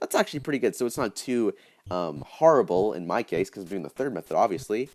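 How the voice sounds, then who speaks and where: Talking at a very fast pace, a man uses a medium pitch with very wide pitch swings. Vocal fry runs through his voice. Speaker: gaming YouTuber. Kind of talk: tutorial.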